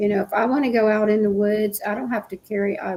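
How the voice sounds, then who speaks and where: A woman talks at a fairly quick pace in an Appalachian accent. Her intonation is monotone and flat. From West Virginia. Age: 60s. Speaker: paranormal show host. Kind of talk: casual chat. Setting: live stream.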